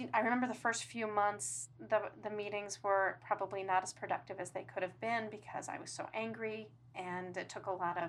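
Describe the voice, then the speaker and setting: This woman's fairly high voice carries vocal fry. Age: 50s. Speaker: divorce client. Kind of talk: personal interview. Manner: halting.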